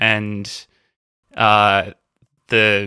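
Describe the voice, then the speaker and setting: With an Australian accent, a man speaks at a fairly low pitch in a bright, sharp tone. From Australia, Melbourne. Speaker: band vocalist. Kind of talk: casual chat.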